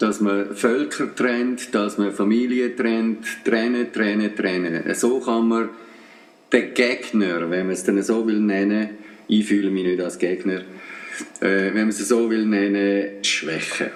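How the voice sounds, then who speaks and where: A man with a Swiss accent, fairly low in pitch, at a very slow pace over music in the background. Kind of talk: radio commentary.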